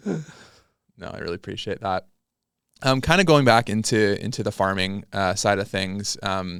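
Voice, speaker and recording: A man with a Canadian accent talks in a normal speaking voice at a fairly low pitch and fairly slow pace, with ordinary pitch variation. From British Columbia, Canada. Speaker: farmer and podcast host. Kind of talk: casual interview. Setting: podcast studio.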